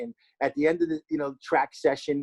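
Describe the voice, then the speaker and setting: Here a man speaks with a New Jersey accent and ordinary pitch variation. The pace is fairly quick, and the sound is dry and close with no echo. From New Jersey, Hackensack. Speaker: former pro baseball player. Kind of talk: casual podcast interview.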